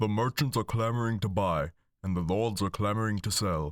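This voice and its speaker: A man's booming, put-on character voice, fairly low in pitch, with ordinary pitch variation at a moderate pace, dry and close with no echo, on a very clean recording against a silent background. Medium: read story.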